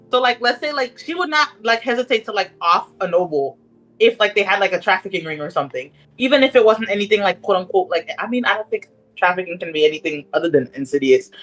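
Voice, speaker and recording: Very fast speech from a woman with a non-native accent, medium in pitch and swinging very widely. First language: not English. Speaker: tabletop roleplay player. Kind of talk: casual chat. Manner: halting.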